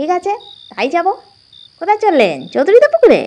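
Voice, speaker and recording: In a put-on character voice, a woman speaks at an extremely high pitch with very wide pitch swings. Her pace is moderate. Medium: read story. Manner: ingratiating, sly.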